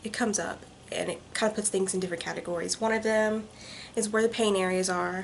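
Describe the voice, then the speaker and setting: Fairly quick, fairly high female speech, ordinary in its pitch variation, set against noticeable background noise. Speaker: vlogger. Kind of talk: vlog monologue. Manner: fast.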